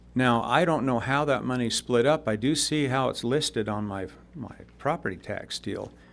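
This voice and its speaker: Over a silent background in a very clean recording, a man speaks at medium pitch and a moderate pace with vocal fry and ordinary pitch variation. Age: 70s. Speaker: retired oil field worker, public commenter. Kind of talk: public comment at meeting. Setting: county commission chambers.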